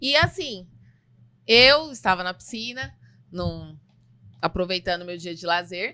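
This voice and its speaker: A woman's bright, sharp voice with lively intonation, big swings in loudness, and long, frequent pauses. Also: medium pitch for a woman, fairly slow pace. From Bahia, Brazil (Salvador). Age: 30s. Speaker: nursing technician and podcast co-host. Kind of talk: casual podcast chat.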